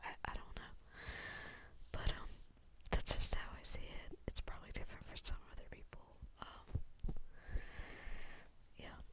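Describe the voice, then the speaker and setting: A woman whispers at a moderate pace, with big swings in loudness. She leaves long, frequent pauses. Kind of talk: ASMR ramble. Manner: whispered; soft-spoken, rambling.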